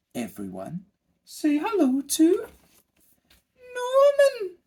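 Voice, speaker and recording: A put-on character voice speaks at an extremely high pitch. The pace is very slow. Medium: read story. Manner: regal.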